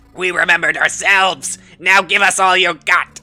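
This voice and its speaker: A man's put-on character voice, high in pitch and monotone, flat in intonation, at a moderate pace with music in the background. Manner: gruff, menacing.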